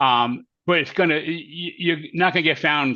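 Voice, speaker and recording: A man with a fairly high pitch and a bright, sharp tone against a quiet background. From New York. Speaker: career coach presenter. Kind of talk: webinar presentation Q&A. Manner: fast.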